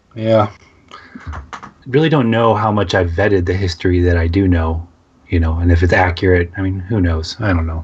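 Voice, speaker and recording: A man with a very deep, low, somewhat breathy voice talks at a fairly quick pace with ordinary pitch variation and long, frequent pauses. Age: 30s. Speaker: radio co-host. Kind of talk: casual chat.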